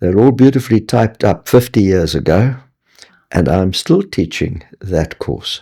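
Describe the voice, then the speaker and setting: This voice has a dark, mellow tone and a South African accent. Its intonation is lively and the pace fairly slow. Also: man, fairly low pitch for a man. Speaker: retired scientist and Bible teacher. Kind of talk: interview testimony.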